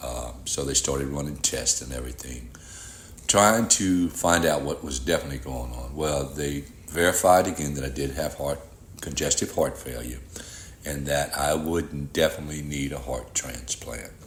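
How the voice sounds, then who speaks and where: With vocal fry, this voice moves at a moderate pace and shows ordinary pitch variation. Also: man, very deep, low pitch for a man. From Louisiana (Rayne, Cajun country). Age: 60s. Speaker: heart transplant recipient. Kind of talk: testimony.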